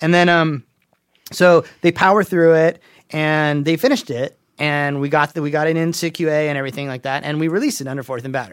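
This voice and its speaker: Talking at a very fast pace, a man with a fairly high pitch and ordinary pitch variation comes through a very clean, dry, close recording with no echo and a silent background. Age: 40s. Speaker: game audio director, guest. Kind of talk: casual chat. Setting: studio.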